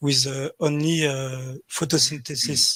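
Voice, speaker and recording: This man's fairly high voice is somewhat breathy and delivered in a flat monotone. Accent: French. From France. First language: French. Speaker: atheist caller. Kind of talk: call-in discussion. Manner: halting, many fillers.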